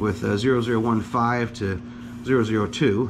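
With noticeable background noise behind him, a man talks at a fairly slow pace in a medium pitch with a relaxed tone. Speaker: home mechanic. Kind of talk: casual talk to camera. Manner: relaxed, halting with fillers.

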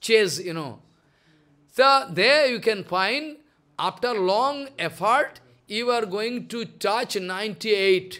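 A man's raised, projected voice with a bright, sharp tone. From India. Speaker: spiritual teacher. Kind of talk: religious discourse. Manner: repetitive. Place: home room. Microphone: studio mic.

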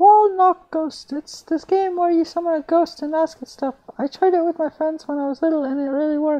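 A squeaky put-on character voice at a fairly quick pace with hardly any pauses. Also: man, extremely high pitch for a man. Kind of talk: horror story reading. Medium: read story. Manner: chatty.

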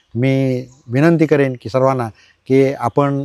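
With a dark, mellow tone and fairly even intonation, the voice sounds dry and close with no echo in a very clean recording with a silent background. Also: man. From Konkan, Ratnagiri district (Lanja). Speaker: writer and community leader. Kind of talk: on-site interview explaining temple history. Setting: outdoors at village temple.

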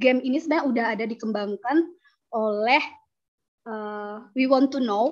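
A woman speaks at a moderate pace with a fairly high pitch, ordinary pitch variation and long, frequent pauses against a quiet background. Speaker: lecturer. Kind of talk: conference presentation. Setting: video call. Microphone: video call.

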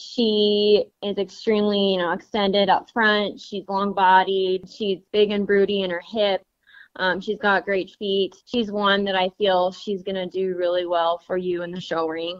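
Monotone, flat intonation from a woman with an American accent, medium pitch and a fairly slow pace. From US West (Montana). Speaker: cattle rancher. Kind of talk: interview. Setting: phone call.

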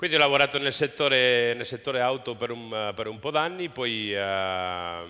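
The man's tone is bright and sharp. His pitch variation is ordinary. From southern Spain, Almería; southern Spain. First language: Spanish (speaking Italian). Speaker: entrepreneur; guest. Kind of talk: interview on stage. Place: stage. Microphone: headset.

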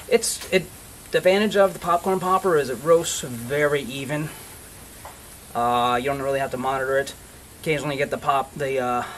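A man talks at a fairly quick pace with ordinary pitch variation over light background noise. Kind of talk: tutorial. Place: garden. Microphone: camera far.

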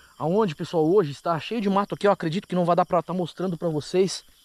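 A man rattles along at a very fast pace and high pitch, with ordinary pitch variation and a dry sound with no echo. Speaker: paranormal investigator vlogger. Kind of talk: casual vlog chat. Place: open country. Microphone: phone near.

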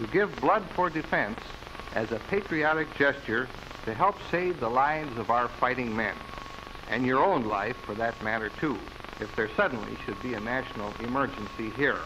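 Against noticeable background noise, a speaker with an American accent talks at a moderate pace with lively intonation. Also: man, medium pitch for a man. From Milwaukee, Wisconsin. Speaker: city mayor. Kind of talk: public appeal in a newsreel. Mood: serious, urgent appeal. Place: office. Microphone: studio mic.

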